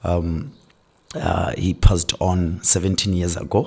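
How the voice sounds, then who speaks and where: Very deep and low in pitch, a somewhat breathy man speaks with ordinary pitch variation. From Botswana, Francistown. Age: 30s. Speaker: pastor. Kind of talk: interview.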